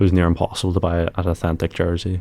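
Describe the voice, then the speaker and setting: Very fast, a man talks with an Irish accent on a very clean recording with a silent background. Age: 20s. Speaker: e-commerce founder. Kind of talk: podcast interview. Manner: casual.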